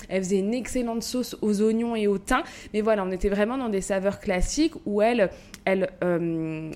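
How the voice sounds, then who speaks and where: Speaking at a moderate pace, a woman has an unremarkable speaking voice of medium pitch with ordinary pitch variation. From Paris suburbs, Val-de-Marne (94). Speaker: podcast co-host and café owner. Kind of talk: casual chat.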